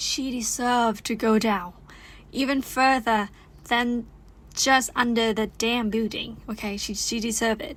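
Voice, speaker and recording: On a very clean recording with a silent background, a woman with a Thai accent speaks at a fairly slow pace and a fairly high pitch. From Thailand. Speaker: YouTuber. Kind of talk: casual vlog chat. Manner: animated; halting.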